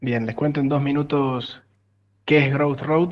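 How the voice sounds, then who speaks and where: A man speaks with a Córdoba Argentine accent at a fairly high pitch. His intonation is monotone and flat, his pace moderate. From Argentina, Córdoba. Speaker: tech startup founder. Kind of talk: interview.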